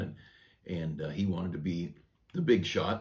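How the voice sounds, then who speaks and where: A man with a very deep, low voice sounds somewhat breathy at a moderate pace. His intonation is fairly even, and room echo is audible. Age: 60s. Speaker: pastor. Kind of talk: devotional sermon. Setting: church office. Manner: conversational with frequent fillers.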